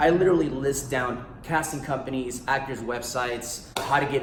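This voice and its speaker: A man with an American accent talks in an animated tone at medium pitch. Room echo is audible around him. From US, Guatemalan family. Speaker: actor and author. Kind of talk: casual promotional vlog.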